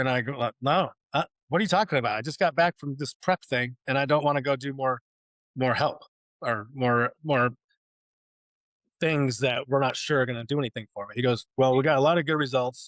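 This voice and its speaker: In a West Coast US accent, a man with medium pitch and ordinary pitch variation speaks at a fairly quick pace but with long, frequent pauses. The sound is dry and close, with no echo. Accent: General American, West Coast. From Oregon, US Pacific Northwest. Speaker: war veteran. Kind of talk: interview testimony. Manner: casual, repetitive with restarts.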